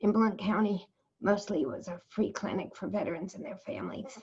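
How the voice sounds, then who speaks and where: Somewhat breathy, a woman with an American accent speaks at a moderate pace. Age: 70s. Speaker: retired psychologist and cancer survivor. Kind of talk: interview testimony.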